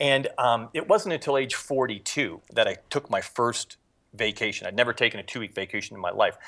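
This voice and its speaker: A fairly quick pace over a quiet background. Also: man. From Erie, Pennsylvania, US. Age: 40s. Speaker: entrepreneur and martial arts teacher, former Marine. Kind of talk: interview. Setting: Skype call.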